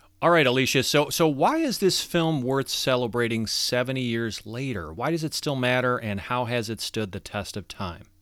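A man with medium pitch and an unremarkable speaking voice talks with lively intonation and hardly any pauses, on a very clean recording with a silent background. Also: moderate pace. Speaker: podcast host. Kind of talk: interview.

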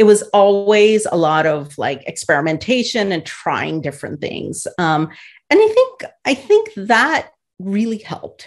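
With an American accent, a woman speaks in a plain, everyday voice at medium pitch and a fairly slow pace. Her intonation is lively, and the background is quiet. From India, then upstate New York from age ten. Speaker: tech entrepreneur and executive. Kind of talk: interview conversation.

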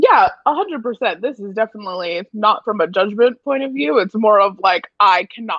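This is a woman with an unremarkable speaking voice and a medium pitch. She speaks at a moderate pace with lively intonation. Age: 20s. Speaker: friend of the host. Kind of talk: casual chat. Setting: phone call.

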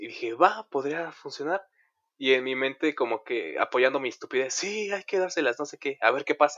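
A man with a plain, everyday voice speaks at a moderate pace in a fairly high pitch. His intonation is lively, and his loudness swings widely. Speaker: podcast host. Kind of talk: casual chat.

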